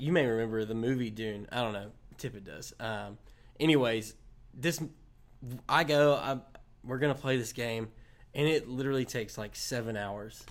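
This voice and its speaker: At a moderate pace, a man speaks with ordinary pitch variation, big swings in loudness and long, frequent pauses. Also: medium pitch for a man. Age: 20s. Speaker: student ministry pastor. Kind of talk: casual interview.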